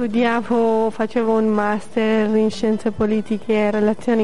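With noticeable background noise behind her, a woman speaks in a fairly high, monotone voice with flat intonation. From Armenia. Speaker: immigrant interviewee, English teacher. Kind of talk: radio interview. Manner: hesitant, with fillers.

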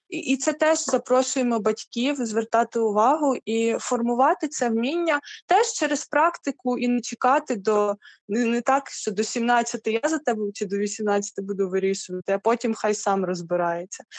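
The sound is dry and close with no echo as a woman talks in a normal speaking voice, fairly high in pitch, at a moderate pace with lively intonation. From Ukraine. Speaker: church youth ministry worker. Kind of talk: interview.

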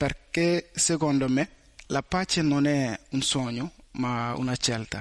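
With very even loudness and a very slow pace, a man at a fairly high pitch speaks in a dry, close sound with no echo. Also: ordinary pitch variation. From Mali. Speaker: student. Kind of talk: testimony. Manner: halting.

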